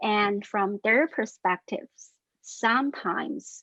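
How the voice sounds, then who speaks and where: This is a woman with a non-native accent. Her intonation is lively. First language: not English. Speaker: researcher, panelist. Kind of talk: panel discussion. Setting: webinar video call. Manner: halting.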